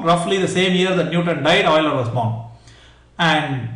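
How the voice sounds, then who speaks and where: A man speaks at a high pitch, his pitch swinging very widely. Noticeable background noise is present. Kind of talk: lecture, explanatory. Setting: lecture or class.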